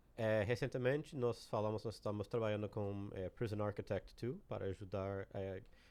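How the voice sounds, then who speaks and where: In an American accent, a man with a fairly low pitch speaks at a moderate pace with ordinary pitch variation. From United States. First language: English (speaking Portuguese). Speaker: game creative director. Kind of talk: podcast interview. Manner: halting.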